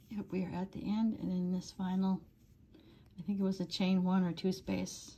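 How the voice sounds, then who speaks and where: Soft-spoken and somewhat breathy, a woman with an American accent talks at a medium pitch and a moderate pace. Her tone is dark and mellow, and her intonation is monotone and flat. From US Upper Midwest, northern Wisconsin. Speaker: crochet tutorial maker. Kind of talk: tutorial with casual chat.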